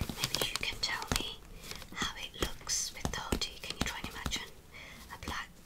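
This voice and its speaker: A woman whispers at a moderate pace. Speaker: ASMR creator. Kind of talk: ASMR shopping haul talking to camera. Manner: whispered, soft-spoken. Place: home room.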